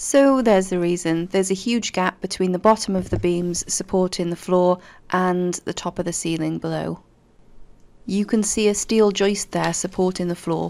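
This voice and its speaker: A woman's intonation stays fairly even as she talks at a moderate pace. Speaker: renovation vlogger. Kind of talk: casual vlog chat. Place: home room. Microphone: phone near.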